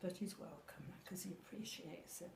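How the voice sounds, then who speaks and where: Over noticeable background noise and audible room echo, a woman of medium pitch speaks at a fairly slow pace with fairly even intonation. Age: 80s+. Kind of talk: casual chat. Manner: halting.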